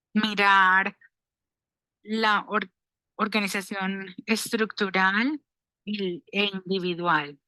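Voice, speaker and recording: A woman speaks in a bright, sharp tone with ordinary pitch variation. The sound is dry and close, with no echo. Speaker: dissertation committee member. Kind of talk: academic feedback at a dissertation defense.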